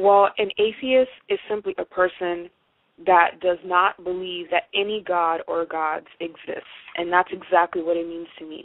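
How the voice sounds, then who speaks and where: A woman with an American accent speaks in a fairly low pitch, with fairly even intonation and a moderate pace. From Haiti then US from age six. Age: 20s. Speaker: atheist interviewee. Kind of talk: interview. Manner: hesitant with many fillers.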